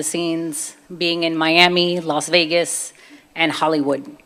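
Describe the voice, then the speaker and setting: A fairly low-pitched woman with a Brooklyn accent and a flat, monotone delivery. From US, Brooklyn, New York (Puerto Rican family). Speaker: convert giving testimony, former personal trainer. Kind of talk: testimony.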